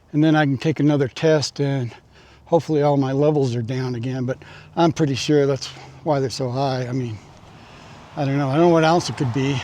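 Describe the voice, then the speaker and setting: Talking at a fairly quick pace with long, frequent pauses, a man uses a dark, mellow tone at a fairly high pitch. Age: 60s. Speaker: retired vlogger. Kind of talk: casual walking vlog. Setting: outdoors, walking in neighborhood. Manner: halting, many fillers.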